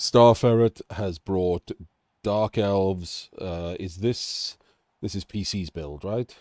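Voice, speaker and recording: The speaker talks at a very slow pace with a Welsh accent. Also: man, fairly low pitch for a man. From Wales. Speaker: game commentator. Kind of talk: live commentary. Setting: live stream. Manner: pitch rises when animated.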